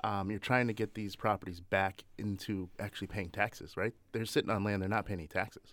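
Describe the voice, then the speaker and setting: A man with an American accent talks at a fairly quick pace in a fairly low pitch. It is a normal speaking voice on a very clean recording with a silent background. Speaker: political strategist. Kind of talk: radio panel discussion. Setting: studio.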